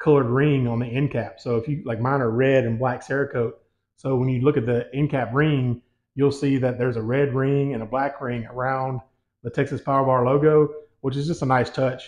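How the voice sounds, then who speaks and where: A man talks at a fairly quick pace in a monotone, flat intonation. The background is quiet. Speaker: home gym equipment reviewer. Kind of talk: product review. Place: gym.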